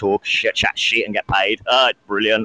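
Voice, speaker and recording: Amid noticeable background noise, a man with a British accent speaks at a fairly quick pace and a fairly low pitch, the sound dry and close with no echo. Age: 30s. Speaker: caller. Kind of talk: casual chat. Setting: call-in. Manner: animated.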